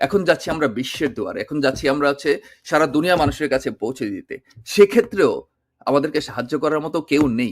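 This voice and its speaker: A man with a plain, everyday voice uses lively intonation on a very clean recording with a silent background. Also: fairly high pitch for a man. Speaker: political commentator. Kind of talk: video monologue.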